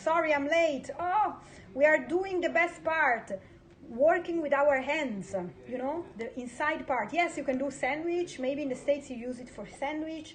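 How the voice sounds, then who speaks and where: A high-pitched woman with an Italian accent speaks fairly slowly, with ordinary pitch variation and big swings in loudness. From Italy. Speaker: home cook. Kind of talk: live-streamed cooking chat. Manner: halting.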